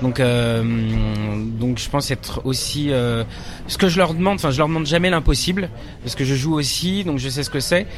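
A man speaks at a medium pitch with ordinary pitch variation and a fairly slow pace, with noticeable background noise and audible room echo. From Paris suburbs, Nanterre. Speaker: stage director and actor. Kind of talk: interview. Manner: halting, many hesitations.

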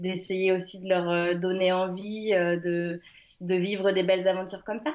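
Quiet background behind a woman's medium-pitched speech. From France, Le Mans (Sarthe). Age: 30s. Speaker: ultra-trail runner. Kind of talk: interview. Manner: hesitant, many fillers.

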